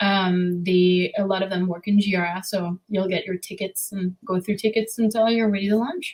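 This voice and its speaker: A somewhat breathy woman with a medium pitch keeps a moderate pace and fairly even intonation. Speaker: web designer and developer. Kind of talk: podcast interview. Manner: hesitant, many fillers.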